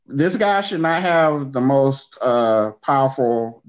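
Against a quiet background, a man with a medium pitch speaks with lively intonation. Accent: American. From US South. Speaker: podcast host. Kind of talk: casual chat. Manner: halting.

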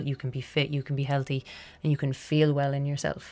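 A woman's very deep, low voice at a very fast pace, with music in the background. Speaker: physiotherapist. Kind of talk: casual chat.

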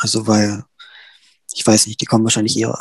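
The sound is close and dry, with no echo at all. It is a man's voice. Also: quiet background. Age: young. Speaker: student representative. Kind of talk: panel discussion.

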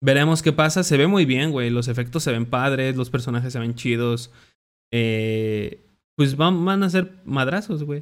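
A Mexican-accented man speaks at medium pitch and a fairly slow pace in a very clean recording with a silent background. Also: ordinary pitch variation. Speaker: podcast host. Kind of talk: casual chat.

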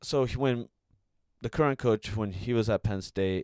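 A man with a Californian accent speaks in a fairly low pitch. The recording is very clean, with a silent background and a dry, close sound with no echo. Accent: Californian American. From US, Bay Area, California. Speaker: Olympic fencer. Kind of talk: casual chat.

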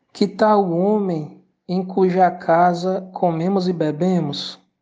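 A woman speaks in a solemn tone, her pitch fairly low and her voice dark and mellow. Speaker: storyteller narrating Yoruba myth. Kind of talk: mythic folktale narration, ritual-like storytelling. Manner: measured, rhythmic, solemn storytelling with ritual salutations and calls.

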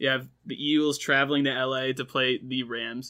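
This man has an ordinary speaking voice, pitched fairly high. His intonation stays fairly even at a moderate pace. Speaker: sports podcast co-host, student. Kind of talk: casual chat. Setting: studio.

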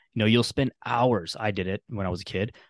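A man talks in an unremarkable speaking voice at a fairly low pitch with fairly even intonation. The sound is dry and close with no echo, against a quiet background. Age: 20s. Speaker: fitness coach. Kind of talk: casual chat.

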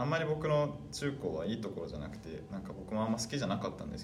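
Amid noticeable background noise and audible room echo, a man speaks at a very fast pace with very wide pitch swings. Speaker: podcast guest. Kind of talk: casual interview chat.

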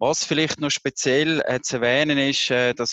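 The sound of this man's voice is dry and close with no echo, set against a quiet background. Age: 50s. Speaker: HR executive and burnout prevention coach. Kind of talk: interview. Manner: hesitant, many filler sounds.

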